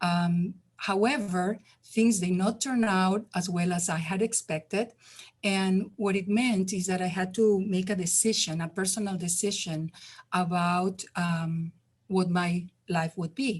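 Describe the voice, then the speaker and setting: A woman with a non-native accent speaks at a medium pitch, her voice somewhat breathy. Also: fairly even intonation, fairly slow pace. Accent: foreign. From Spain. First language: Spanish. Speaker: community health worker ambassador. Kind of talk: testimony.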